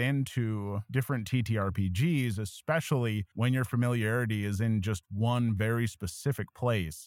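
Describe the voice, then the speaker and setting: A man's medium-pitched, plain, everyday voice at a moderate pace. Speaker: YouTube tabletop RPG educator. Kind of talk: casual chat. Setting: video call.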